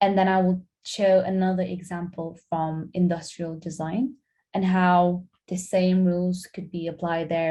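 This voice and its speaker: A woman with a Lithuanian accent speaks at a fairly low pitch and moderate pace. Her tone is dark, mellow and somewhat breathy, her intonation flat and monotone. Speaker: graphic designer. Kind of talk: guest lecture.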